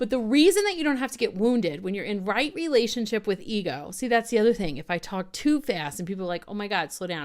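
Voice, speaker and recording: On a very clean recording with a silent background, a woman with an American accent talks at a very fast pace in an animated tone, her fairly high pitch swinging very widely. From US South. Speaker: spiritual coach and video host. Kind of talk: talk to camera.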